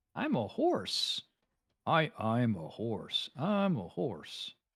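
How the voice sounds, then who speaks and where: Putting on a character voice with a Southern accent, a man speaks at a fairly high pitch and a very slow pace in a very clean recording with a silent background. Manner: joking, silly.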